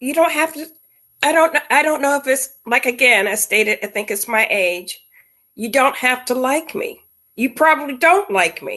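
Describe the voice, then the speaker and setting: Raised and projected, a woman's high-pitched voice with a bright, sharp tone moves at a moderate pace through very wide pitch swings. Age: 60s. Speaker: guest on a sister's interview show. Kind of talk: casual chat.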